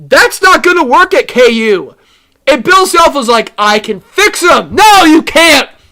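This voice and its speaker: A man's raised, projected voice at extremely high pitch, with very wide pitch swings and a fairly slow pace. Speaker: sports podcast co-host. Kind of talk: casual chat. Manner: animated.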